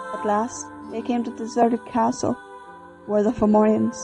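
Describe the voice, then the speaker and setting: A woman talks fairly slowly while music runs in the background. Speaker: storyteller. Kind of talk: storytelling narration of a myth, read aloud.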